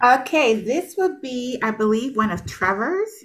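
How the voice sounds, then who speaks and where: A woman speaks with lively intonation. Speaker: podcast co-host. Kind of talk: casual chat.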